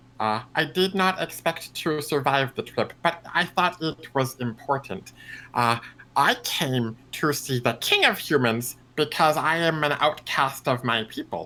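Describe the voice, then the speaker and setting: A man puts on a character voice at a fairly high pitch. He delivers it at a fairly slow pace. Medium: actual play. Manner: halting, simple, formal speech without contractions.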